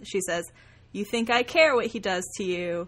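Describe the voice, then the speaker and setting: On a very clean recording with a silent background, a woman with an ordinary speaking voice talks at a fairly slow pace and medium pitch, with ordinary pitch variation. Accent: American. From Texas, Hunt County. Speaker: podcast co-host. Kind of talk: casual chat.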